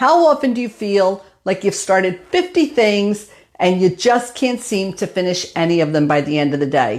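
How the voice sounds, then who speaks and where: A woman speaks at a medium pitch. Her pitch swings very widely. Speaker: business coach hosting women's group. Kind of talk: Facebook Live talk. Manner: fast; animated.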